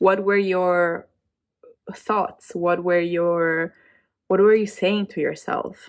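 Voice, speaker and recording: Speaking at a very slow pace, a woman with a fairly low pitch is heard on a very clean recording with a silent background. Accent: non-native. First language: not English. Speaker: vlogger. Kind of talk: casual chat. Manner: halting.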